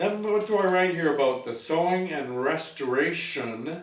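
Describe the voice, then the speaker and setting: A man's fairly slow, lively-intoned speech over noticeable background noise. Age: 60s. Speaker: sewing machine hobbyist and restorer. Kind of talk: casual talk to camera. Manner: rambling, hesitant.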